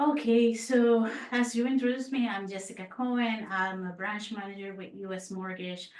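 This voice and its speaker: Talking at a moderate pace with hardly any pauses, a woman in a Puerto Rican accent uses a fairly high pitch and ordinary pitch variation, her loudness swinging widely, with noticeable background noise and audible room echo. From Puerto Rico. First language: Spanish. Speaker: mortgage branch manager. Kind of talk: podcast interview.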